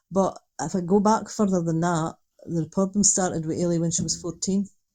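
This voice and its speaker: Against a quiet background, a woman with a Dundee accent speaks in a dark, mellow tone with a monotone, flat intonation. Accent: Scottish (Dundee). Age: 60s. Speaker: retired social worker, mother of an addict. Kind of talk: interview.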